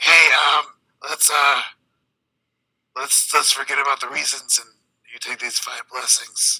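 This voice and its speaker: Putting on a character voice, a raspy man with a fairly high pitch speaks at a moderate pace, with long, frequent pauses and big swings in loudness. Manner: intimidating.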